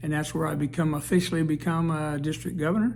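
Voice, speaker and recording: Audible room echo surrounds a man whose fairly high voice keeps fairly even intonation. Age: 70s. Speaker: service club district leader. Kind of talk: informal self-introduction to camera. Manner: halting, with many fillers.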